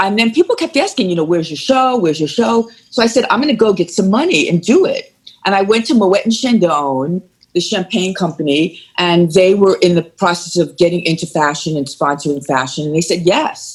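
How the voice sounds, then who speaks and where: Fairly quick, animated speech from a woman with a strong New York accent, medium pitch, lively intonation and a somewhat breathy quality. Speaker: former fashion TV host. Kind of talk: interview.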